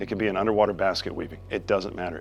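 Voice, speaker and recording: A man with an American accent at a very fast pace, fairly low in pitch with fairly even intonation, over music in the background. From Florida, Daytona Beach area. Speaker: business owner. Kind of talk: interview monologue. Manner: casual, hesitant with many fillers.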